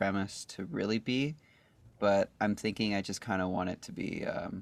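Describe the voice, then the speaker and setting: Over a very clean recording with a silent background comes a normal speaking voice with a Canadian accent and ordinary pitch variation. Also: man. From Canada, Calgary, Alberta. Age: 20s. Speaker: singer-songwriter. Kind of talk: casual interview. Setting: podcast.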